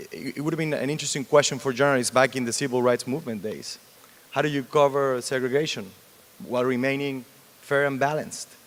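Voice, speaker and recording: A man talking at a very fast pace, medium-pitched, with a Mexican accent and fairly even intonation. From Mexico. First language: Spanish. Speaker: TV news anchor. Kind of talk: panel interview.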